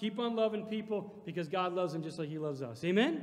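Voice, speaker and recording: Lively intonation marks this man's speech, delivered at a fairly quick pace. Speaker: preacher. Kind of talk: sermon. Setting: church. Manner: animated, call-and-response, pulpit preaching with congregation prompts. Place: hall. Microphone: podium.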